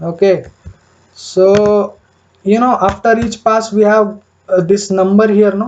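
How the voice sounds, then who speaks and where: Her pitch sits at a medium level. The woman's intonation is monotone and flat. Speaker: programming tutor. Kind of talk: coding tutorial. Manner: slow, deliberate; hesitant, many fillers.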